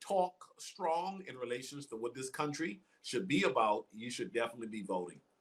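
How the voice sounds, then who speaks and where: A man with a slight Bahamian accent, medium pitch, very wide pitch swings and a fairly quick pace. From Bahamas, Nassau. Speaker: guest speaker. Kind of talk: interview.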